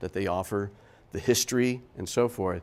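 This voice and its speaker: A man with a fairly low pitch talks at a moderate pace in a very clean recording with a silent background. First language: German. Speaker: architect and professor. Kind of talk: talk to an audience.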